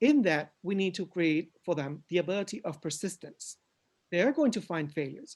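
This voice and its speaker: In a Spanish accent, a man speaks at a high pitch. His pace is moderate, and the background is quiet. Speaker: education consultant. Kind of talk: conference presentation. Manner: halting.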